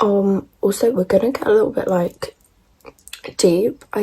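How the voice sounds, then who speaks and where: With an English accent, a woman speaks at a moderate pace. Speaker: beauty vlogger. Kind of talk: casual chat. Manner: loud; animated.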